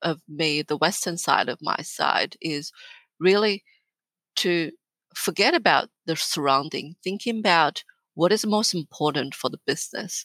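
A woman with a Chinese accent, her bright, sharp voice at a fairly low pitch with ordinary pitch variation and a fairly slow pace, on a very clean recording with a silent background. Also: dry, close sound with no echo. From northern China. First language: Mandarin Chinese. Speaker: business executive. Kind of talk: interview.

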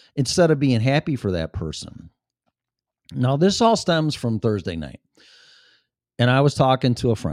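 On a very clean, dry, close recording with a silent background and no echo, a man with a Chicago accent speaks at a moderate pace and a medium pitch, with very wide pitch swings and long, frequent pauses. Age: 50s. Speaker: podcast host. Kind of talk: casual solo talk show monologue. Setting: home studio.

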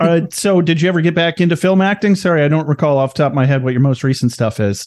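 Here a man speaks at a fairly high pitch with ordinary pitch variation. His loudness stays very even. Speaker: podcast host. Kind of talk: casual interview. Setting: video call. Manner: halting.

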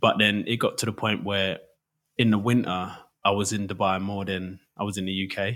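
A man's fairly low voice in an East London accent, with monotone, flat intonation. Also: moderate pace. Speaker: DJ. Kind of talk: casual chat.

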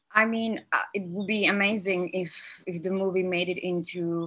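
Very clean, with a silent background, the recording captures a woman's bright, sharp tone at a fairly slow pace. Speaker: film director. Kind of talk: interview answers over call.

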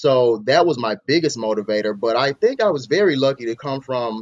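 A man with an American accent talks at a moderate pace and a medium pitch. He has an unremarkable speaking voice. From US South, Mississippi. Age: 30s. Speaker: father of five, podcast guest. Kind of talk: interview conversation.

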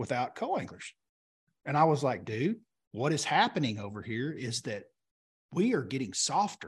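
Fairly quick, somewhat breathy speech from a man with an American accent at medium pitch, set against a quiet background. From Oklahoma. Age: 40s. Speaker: professional bass angler. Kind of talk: casual chat. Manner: animated.

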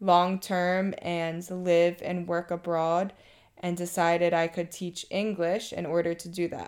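A woman talks at a fairly slow pace with a fairly low pitch. The recording is very clean, with a silent background. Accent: Mid-Atlantic American. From Maryland. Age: 30s. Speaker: teacher. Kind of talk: personal testimony.

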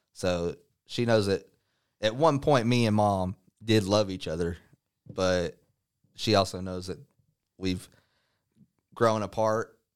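Speaking with a Texan accent, a man has a fairly low pitch and ordinary pitch variation. He talks at a fairly slow pace with long, frequent pauses. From North Texas (Dallas area). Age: 30s. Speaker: pro wrestler. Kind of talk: interview.

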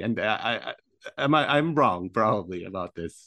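Using a normal speaking voice, a man speaks at a medium pitch and a moderate pace. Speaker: podcast host. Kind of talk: casual interview.

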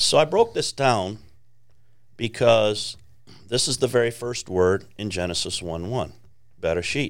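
Lively intonation in a Chicago accent, fairly slow with long, frequent pauses, on a very clean recording with a silent background. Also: man, medium pitch for a man. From Chicago, US Midwest. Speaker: ministry founder. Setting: studio.

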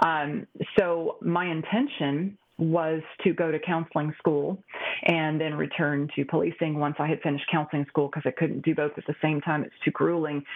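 A woman with a very deep, low pitch is speaking. Her pace is moderate and her intonation fairly even. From Texas, near Dallas-Fort Worth. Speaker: police psychologist. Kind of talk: interview conversation.

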